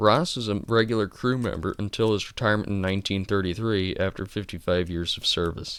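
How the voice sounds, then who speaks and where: An unremarkable speaking voice from a man with an American accent, fairly low in pitch, fairly quick and fairly even in intonation, on a very clean recording with a silent background. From New Jersey. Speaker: amateur railroad history narrator. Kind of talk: history narration voiceover. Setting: low-quality home microphone.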